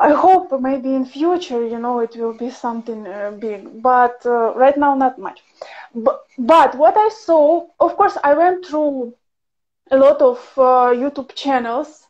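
Against a quiet background, a woman speaks with a Ukrainian accent. Her voice is high-pitched and her pace fairly slow. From Ukraine. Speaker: professional violinist and teacher; interviewer, guest. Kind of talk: casual livestream interview. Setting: video call livestream. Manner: animated, laughs often. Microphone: video call.

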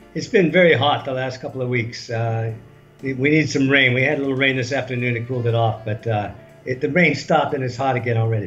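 Over faint background music, a man with an American accent speaks at a very fast pace with ordinary pitch variation. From United States (California, Washington DC). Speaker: travel writer. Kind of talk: interview answer. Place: home room. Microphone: video call.

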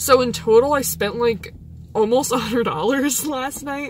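A woman's high-pitched voice comes through with a dry sound, no echo and light background noise. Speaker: vlogger. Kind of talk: casual vlog chat. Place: car. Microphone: phone near.

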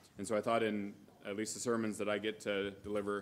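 A man speaks at a fairly quick pace and fairly low pitch. Light background noise sits behind him. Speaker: preacher. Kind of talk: sermon. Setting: church. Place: church. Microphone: podium.

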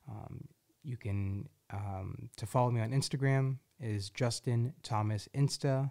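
Against a quiet background, the speaker has a dark, mellow tone in a South Jersey accent. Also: man. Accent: South Jersey American. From southern New Jersey, US. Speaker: podcast host. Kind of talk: casual chat. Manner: animated, rambling. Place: studio. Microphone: studio mic.

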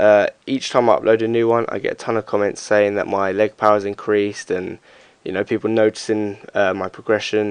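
Someone mumbles at a fairly quick pace in a flat monotone. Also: man, dry, close sound with no echo. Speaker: parkour and strength athlete. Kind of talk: fitness tutorial commentary. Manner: mumbling, hesitant.

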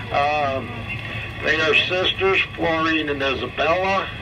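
Ordinary pitch variation over noticeable background noise. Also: man. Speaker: zoo train guide. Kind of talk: tour guide commentary. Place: train.

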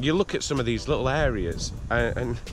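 Over clear background music, a man speaks at a moderate pace in a dry sound with no echo. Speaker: family vlogger. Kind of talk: casual vlog chat. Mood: cheerful, admiring. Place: garden. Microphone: phone near.

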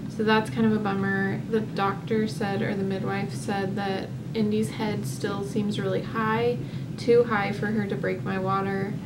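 A woman speaks at a medium pace while loud noise fills the background. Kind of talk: casual vlog chat.

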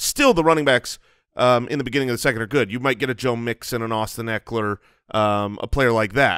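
Against a quiet background with a dry sound and no echo, a man speaks in a bright, sharp tone with ordinary pitch variation. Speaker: podcast co-host. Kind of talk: podcast discussion commentary. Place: studio. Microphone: studio mic.

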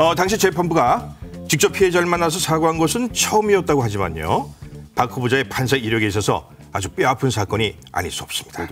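Very wide pitch swings mark this man's fairly high voice as he talks very fast. Faint music plays in the background. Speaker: voice actor. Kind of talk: TV segment narration of a profile. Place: studio.

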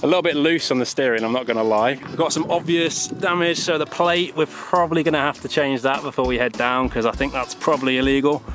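Clear music plays behind a man talking at a fairly quick pace. The sound is dry, with no echo. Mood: upbeat, joking. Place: street. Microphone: phone near.

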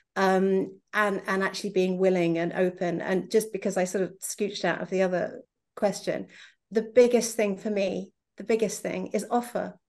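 A woman at a medium pitch with vocal fry, fairly even intonation and a moderate pace, over a quiet background. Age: 40s. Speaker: novelist; panelist. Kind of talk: panel discussion. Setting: video call from home. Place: home room. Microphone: video call.

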